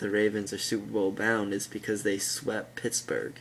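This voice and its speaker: With vocal fry and a fairly low pitch, a man speaks at a fairly slow pace in a fairly even intonation. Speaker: sports vlogger. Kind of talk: casual opinion rant. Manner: slurring; halting.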